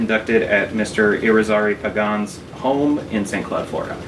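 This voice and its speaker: Through noticeable background noise, a man talks with ordinary pitch variation. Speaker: oral historian. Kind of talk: interviewer questions.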